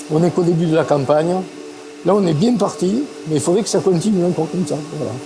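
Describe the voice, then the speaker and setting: A high-pitched man at a very fast pace, with ordinary pitch variation and noticeable background noise. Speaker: perfume industry veteran. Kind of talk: interview. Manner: casual.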